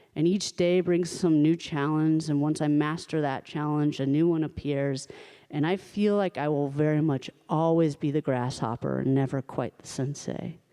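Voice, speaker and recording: A woman with an American accent, very deep and low in pitch, at a moderate pace with fairly even intonation. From New York. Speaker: storyteller. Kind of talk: personal storytelling performance. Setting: stage with live audience.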